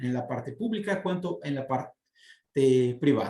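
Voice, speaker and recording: A man with a Portuguese accent speaks at a fairly high pitch, somewhat breathy, with lively intonation. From southern Brazil, Porto Alegre. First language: Portuguese (speaking Spanish). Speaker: city guest speaker. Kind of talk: interview. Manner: halting, many fillers.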